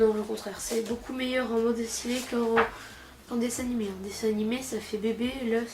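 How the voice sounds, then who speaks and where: At a fairly quick pace, a woman speaks with a fairly high pitch and monotone, flat intonation. Audible room echo and noticeable background noise fill the recording. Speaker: comic book youtuber. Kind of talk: casual vlog review. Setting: sitting on a couch at home. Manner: fast; hesitant, many fillers.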